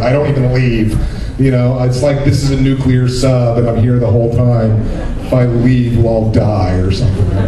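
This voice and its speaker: There is noticeable background noise and audible room echo as a man speaks at a fairly quick pace. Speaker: voiceover actor guest. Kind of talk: convention panel talk. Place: hall.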